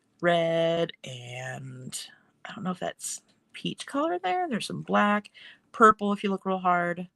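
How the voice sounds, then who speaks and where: Loudness swings widely as a woman speaks, the sound dry and close with no echo on a very clean recording with a silent background. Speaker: mixed media artist and stencil designer. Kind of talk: casual live stream craft demo. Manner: fast; casual, chatty with fillers.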